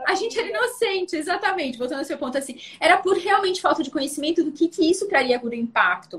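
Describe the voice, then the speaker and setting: Speaking very fast, a woman lets her pitch swing very widely. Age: 40s. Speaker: live stream host. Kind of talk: casual interview on live stream. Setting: Instagram live.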